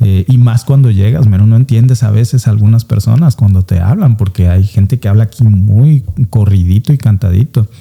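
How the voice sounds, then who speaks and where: In a strong Veracruz accent, a man speaks at a fairly quick pace with hardly any pauses, his fairly low voice dark and mellow, with ordinary pitch variation, very even loudness, and a dry, close sound with no echo. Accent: strong coastal Veracruz Mexican. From Mexico, coastal Veracruz (Alvarado). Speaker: immigrant, former lawyer. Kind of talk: interview.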